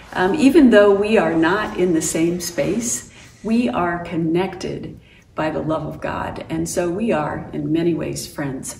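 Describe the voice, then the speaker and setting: Speech comes at a fairly slow pace with ordinary pitch variation, light background noise and audible room echo. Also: woman, fairly low pitch for a woman. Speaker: pastor. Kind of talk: worship welcome address. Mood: warm, welcoming. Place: home room. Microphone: camera far.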